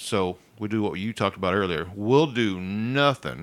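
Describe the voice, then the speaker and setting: A man with an American accent speaks at a moderate pace in an unremarkable speaking voice, with a fairly low pitch and ordinary pitch variation. The recording is very clean, with a silent background. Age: 50s. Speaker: podcast host. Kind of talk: casual chat. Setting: studio.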